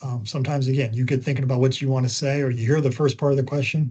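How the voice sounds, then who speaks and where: A man's dark, mellow voice at medium pitch, somewhat breathy, at a very fast pace. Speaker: communications trainer. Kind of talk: training webinar. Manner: animated.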